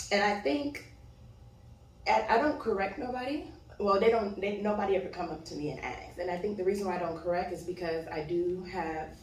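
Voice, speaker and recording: A woman with an American accent speaks at a medium pitch and a fairly quick pace with lively intonation, amid noticeable background noise and audible room echo. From Miami, Florida. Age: 20s. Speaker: model. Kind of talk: casual chat.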